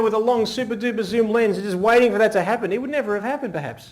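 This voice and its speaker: A man with an Australian accent talks at a very fast pace in a high voice and an animated tone with ordinary pitch variation, in a very clean recording with a silent background. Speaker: wedding photographer giving a seminar. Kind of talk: live seminar talk. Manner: animated, varying pace and volume.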